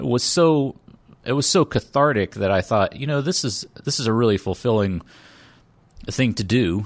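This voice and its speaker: An unremarkable speaking voice with ordinary pitch variation. The recording is very clean, with a silent background. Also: man. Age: 40s. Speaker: comedy writer and live show host. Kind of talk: casual interview chat.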